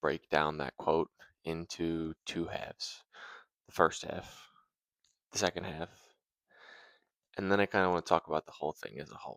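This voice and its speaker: Soft-spoken and very deep in pitch, a man talks with long, frequent pauses, the sound dry and close with no echo. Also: big swings in loudness. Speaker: video creator. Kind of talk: casual philosophy vlog. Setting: at home.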